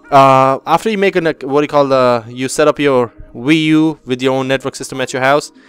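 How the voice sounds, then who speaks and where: Over background music, the speaker talks at a fairly quick pace with ordinary pitch variation. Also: man. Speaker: gaming youtuber. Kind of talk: casual video review. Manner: halting, many fillers.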